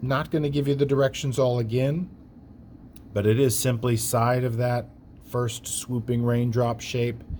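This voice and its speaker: The voice has a dark, mellow tone and is somewhat breathy. It moves at a fairly slow pace with fairly even intonation and very even loudness. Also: man, medium pitch for a man. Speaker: art teacher. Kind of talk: tutorial.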